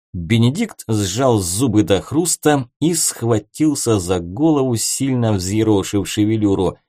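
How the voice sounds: The background is quiet. The speaker uses a natural reading voice with lively intonation.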